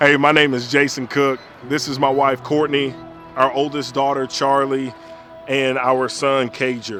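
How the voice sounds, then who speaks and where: With music in the background, a man with a Southern US accent speaks slowly in a fairly high, monotone, flat voice. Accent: Southern American. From Alabama, US South. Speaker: pastor. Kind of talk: casual chat.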